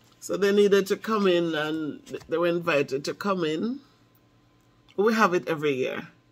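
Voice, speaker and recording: A woman with a Jamaican accent speaks at a fairly low pitch and a moderate pace. Her intonation is lively, broken by long, frequent pauses. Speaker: math teacher. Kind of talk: casual talk to camera.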